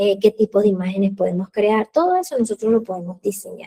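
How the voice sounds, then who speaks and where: Dry and close with no echo, a woman's dark, mellow voice sits at medium pitch with ordinary pitch variation. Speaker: accountant teaching an online class. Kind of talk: live online class. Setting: live video stream with chat.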